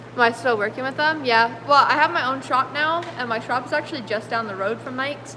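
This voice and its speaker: A woman's high, raised and projected voice in a Canadian accent, with hardly any pauses and noticeable background noise. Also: ordinary pitch variation. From British Columbia, Canada. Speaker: car restorer and painter. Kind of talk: livestream chat reading comments. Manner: casual, filler-heavy.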